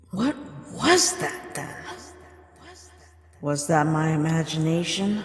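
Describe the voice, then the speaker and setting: A female-sounding put-on character voice at fairly low pitch moves at a fairly slow pace with long, frequent pauses and a clear echo. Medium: fan dub. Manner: measured, knowledgeable.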